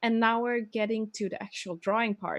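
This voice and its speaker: Against a quiet background, a woman speaks with a Swedish accent. Her pitch sits fairly high. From Sweden. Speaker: manga artist. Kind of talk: tutorial. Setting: live stream. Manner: halting.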